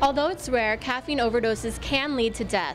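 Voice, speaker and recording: A woman speaks at a fairly quick pace in a fairly high pitch with ordinary pitch variation, music playing in the background. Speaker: TV news reporter. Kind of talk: broadcast news reporter package and stand-up.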